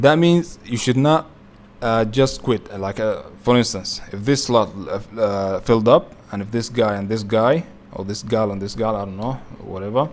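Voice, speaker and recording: This man's voice sits at a medium pitch with ordinary pitch variation and big swings in loudness. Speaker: youtuber explaining savings platforms. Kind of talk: tutorial. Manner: fast; halting, many fillers.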